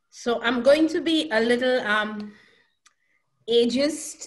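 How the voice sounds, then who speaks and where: A woman speaks very slowly at a high pitch, with ordinary pitch variation. Audible room echo surrounds her voice. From Saint Lucia. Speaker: professor. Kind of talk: lecture.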